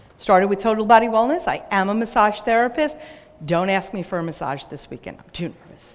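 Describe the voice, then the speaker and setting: Noticeable background noise sits behind a woman with an American accent. She talks at a fairly quick pace, with lively intonation and big swings in loudness. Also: medium pitch for a woman. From New York. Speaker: business owner and speaker. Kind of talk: conference talk.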